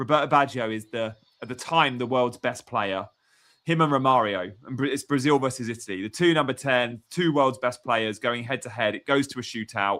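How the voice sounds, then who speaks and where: In an English accent, a man speaks at a fairly quick pace with medium pitch and ordinary pitch variation. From England. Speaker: football pundit. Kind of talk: casual chat.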